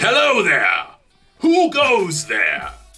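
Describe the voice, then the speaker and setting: With faint music in the background, a man performs a put-on character voice at an extremely high pitch. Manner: formal, challenging.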